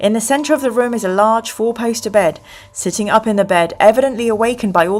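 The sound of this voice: Reading in an unforced voice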